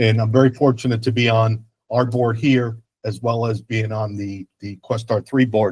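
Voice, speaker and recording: A somewhat breathy man at a medium pitch, with a moderate pace and flat, monotone intonation. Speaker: school board member. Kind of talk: formal remarks at public meeting.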